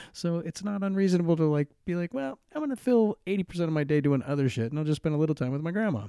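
A man speaks very fast, with hardly any pauses, in a dark, mellow tone. The sound is dry and close, with no echo. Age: 40s. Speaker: podcast host, recovering alcoholic. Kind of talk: solo monologue podcast. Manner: halting, many fillers.

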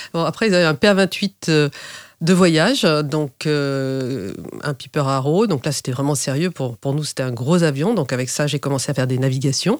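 A woman's very deep, low voice with lively intonation, dry and close with no echo. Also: fairly slow pace. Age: 50s. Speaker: private pilot. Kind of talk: interview. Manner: hesitant with fillers.

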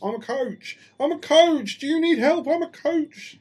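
Using a put-on character voice, the speaker talks in a high pitch at a fairly slow pace. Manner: mocking.

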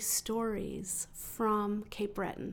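This is a woman with a Western Canadian accent. Her voice sits at a medium pitch. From Calgary, Canada. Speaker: writer and literary researcher. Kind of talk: interview.

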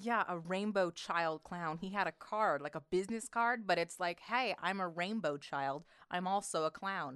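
Against a quiet background, a woman with a plain, everyday voice speaks at a medium pitch with ordinary pitch variation. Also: moderate pace. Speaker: podcast co-host. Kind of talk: casual comedic banter.

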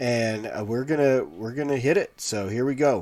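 A man with an American accent speaks at a fairly slow pace, his pitch varying in an ordinary way. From Colorado, Pueblo. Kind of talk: live reaction and review stream. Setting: live YouTube stream. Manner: casual, hesitant with many fillers.

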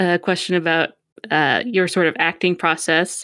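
With an unremarkable speaking voice, a woman talks at a moderate pace in a fairly low pitch, on a very clean recording with a silent background and a dry, close sound with no echo. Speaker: podcast showrunner and producer. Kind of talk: casual Q&A moderating.

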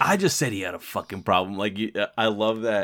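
On a very clean recording with a silent background, a man with an unremarkable speaking voice and fairly low pitch talks at a fairly quick pace. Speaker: podcast host. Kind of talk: casual comedic movie podcast banter.

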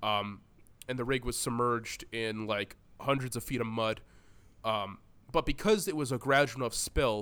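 Animated in tone, a man speaks. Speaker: podcast host. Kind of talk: casual comedic banter podcast, profanity. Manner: animated, rants, joking.

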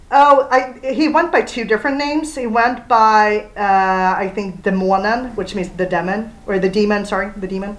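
A woman with a Swedish accent talks at a moderate pace. Her fairly high pitch shows ordinary variation. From Sweden. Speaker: comics blogger. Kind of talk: casual chat. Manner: halting.

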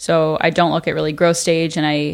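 In a very clean recording with a silent background, a woman talks at a very deep, low pitch with monotone, flat intonation. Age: 20s. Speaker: venture capital investor and university student. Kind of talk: casual chat. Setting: in person in the hosts' headquarters.

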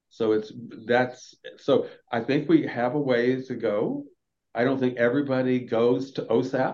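A man speaks in an ordinary speaking voice with an American accent. His medium pitch carries fairly even intonation. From US Southeast, Florida. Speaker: dentist and health equity advocate. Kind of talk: interview conversation.

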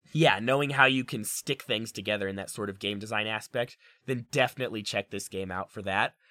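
At a fairly quick pace, a man speaks in a fairly low voice with a bright, sharp tone and ordinary pitch variation, in a very clean, dry, close recording with a silent background and no echo. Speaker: gaming podcast co-host. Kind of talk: casual chat.

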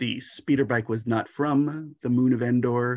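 Fairly even in intonation, a man with a plain, everyday voice talks at a medium pitch. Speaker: fanzine editor interviewer. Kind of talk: casual interview.

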